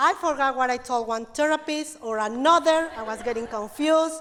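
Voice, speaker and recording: This woman speaks with a non-native accent at a moderate pace. Her voice is high-pitched, and her intonation is lively. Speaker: domestic violence advocate. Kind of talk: personal story speech to audience.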